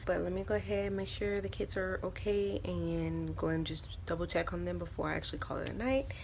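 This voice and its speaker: Soft-spoken and at a fairly quick pace, the speaker talks with hardly any pauses, with audible room echo. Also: woman. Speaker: stay-at-home mom vlogger. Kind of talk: casual vlog talk. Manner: soft-spoken, talking low.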